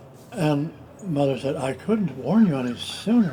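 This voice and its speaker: A man with an American accent speaks at a fairly high pitch. His intonation is lively, and there is noticeable background noise. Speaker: retired country doctor. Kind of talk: family storytelling. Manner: casual, anecdotal.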